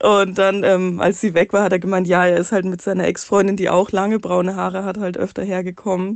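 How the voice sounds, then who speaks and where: A woman at medium pitch, talking at a fairly quick pace in a monotone, flat intonation with hardly any pauses. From Munich area, Bavaria. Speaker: listener sending a voice message, single mother. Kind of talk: recorded voice message telling a personal story.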